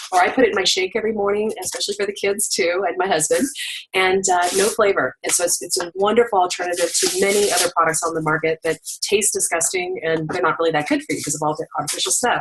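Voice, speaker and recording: Over noticeable background noise, a woman speaks very fast with ordinary pitch variation. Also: medium pitch for a woman. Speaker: direct-sales product presenter. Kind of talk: sales pitch. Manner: animated.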